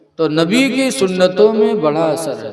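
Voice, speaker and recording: A man is speaking. His pitch is high. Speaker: Islamic preacher giving a sermon. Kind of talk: religious sermon with humorous anecdotes. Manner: lively, conversational, humorous.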